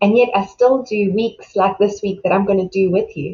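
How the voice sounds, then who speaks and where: A woman speaks at a moderate pace in a medium-pitched, warm, somewhat breathy voice. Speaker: self-love coach. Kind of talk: motivational talk. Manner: warm, encouraging.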